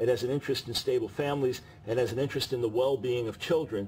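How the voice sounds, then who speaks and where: A somewhat breathy man talks at a very fast pace. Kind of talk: interview answer.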